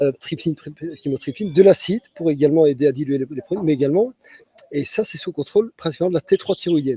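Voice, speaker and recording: A dark, mellow tone moves at a very fast pace with big swings in loudness and ordinary pitch variation, the sound dry and close with no echo. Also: man, fairly high pitch for a man. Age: 60s. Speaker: physician. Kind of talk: interview. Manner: halting, many repetitions.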